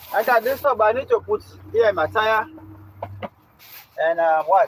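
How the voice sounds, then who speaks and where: A man's high-pitched, animated voice at a moderate pace, ordinary pitch variation, dry, close sound with no echo. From Kenya. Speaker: live streamer. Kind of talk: casual live stream chat.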